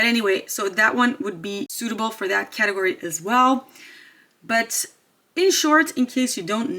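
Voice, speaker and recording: This woman has a fairly high pitch and a bright, sharp tone. She speaks with a non-native accent and lively intonation. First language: not English. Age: 30s. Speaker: beauty YouTuber. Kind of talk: product review vlog. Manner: hesitant, with fillers.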